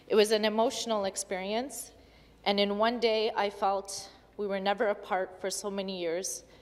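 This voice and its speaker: In a Canadian accent, a woman speaks at a moderate pace with monotone, flat intonation. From Ottawa, Canada (Polish immigrant from age four). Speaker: provincial legislator. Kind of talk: legislative speech. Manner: formal.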